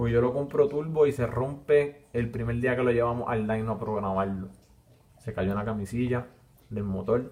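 The man's voice sits at a medium pitch with fairly even intonation. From Puerto Rico, Villalba. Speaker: podcast host. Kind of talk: casual monologue. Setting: live stream while recording.

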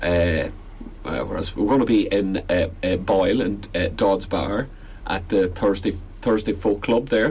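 Speaking at a fairly slow pace in a Belfast accent, a man uses a fairly low pitch with ordinary pitch variation. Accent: Belfast Northern Irish. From Northern Ireland, Belfast. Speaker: folk musician. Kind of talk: casual radio interview. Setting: radio studio.

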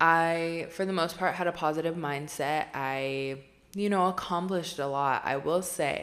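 Her delivery is fairly slow, with fairly even intonation. This woman's pitch is fairly low. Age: 20s. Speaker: podcast host. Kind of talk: solo monologue.

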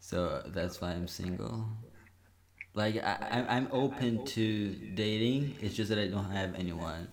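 Noticeable background noise sits behind a man speaking with a Brazilian accent. His pitch is fairly low with ordinary variation, and his pace is fairly slow. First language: Portuguese. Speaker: university student, guest. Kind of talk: casual podcast chat.

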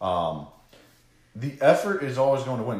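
A man speaks at a fairly slow pace with a medium pitch and a somewhat breathy sound. Audible room echo surrounds his voice. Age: 30s. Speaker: social media marketing podcast host. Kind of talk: casual chat.

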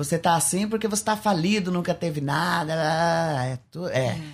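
Here a man speaks at a high pitch, at a fairly slow pace. His pitch variation is ordinary. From Paraná, Brazil. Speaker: former travesti, convert giving testimony. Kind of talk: testimony.

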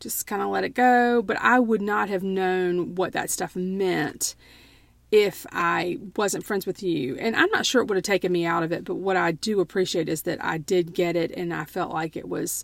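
A woman with a Southern US accent speaks at a moderate pace. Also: medium pitch for a woman, ordinary pitch variation. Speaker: podcast co-host. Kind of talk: casual chat.

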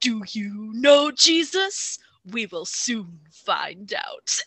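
The speaker puts on a raspy character voice at a fairly high pitch. The pace is very slow. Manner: very intense.

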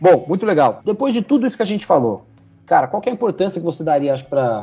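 Talking at a very fast pace, a man uses a dark, mellow tone with very wide pitch swings. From São José dos Campos, São Paulo state, Brazil. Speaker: podcast host, company partner. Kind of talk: business interview.

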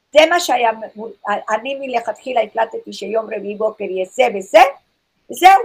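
Lively intonation runs through the woman's speech. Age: 60s. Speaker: naturopath. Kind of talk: lecture. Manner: slow.

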